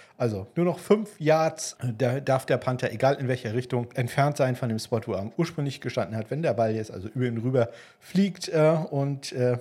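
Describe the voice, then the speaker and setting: At a moderate pace, a man with a dark, mellow tone and medium pitch sounds somewhat breathy, with lively intonation. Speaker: football podcast host. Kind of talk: solo podcast monologue. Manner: frequent filler hesitations.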